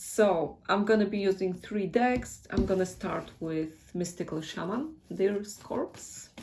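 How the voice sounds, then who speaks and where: A woman's medium-pitched voice with a Polish accent, at a very slow pace. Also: ordinary pitch variation. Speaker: tarot reader. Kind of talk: tarot reading. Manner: casual, hesitant.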